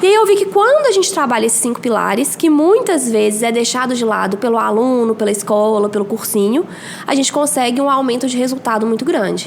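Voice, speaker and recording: A woman speaks very fast in a high pitch with lively intonation and a Minas Gerais accent. Noticeable background noise is present. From Brazil, Minas Gerais (Belo Horizonte). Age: 30s. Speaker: biology teacher and mentor for exam students. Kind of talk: podcast interview.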